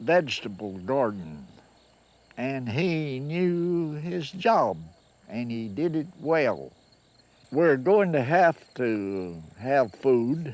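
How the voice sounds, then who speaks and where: Speaking very slowly with a Kentucky accent, a man swings his pitch very widely. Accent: Kentucky Southern American. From Kentucky, USA. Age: 80s+. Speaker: farmer. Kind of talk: interview answer. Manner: slow, hesitant.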